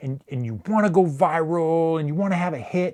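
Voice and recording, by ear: A man with a dark, mellow tone at a moderate pace, on a very clean recording with a silent background.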